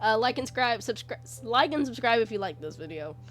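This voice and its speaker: Music plays in the background as the words come at a very fast pace. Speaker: art YouTuber. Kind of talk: casual tutorial. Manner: hesitant, many fillers.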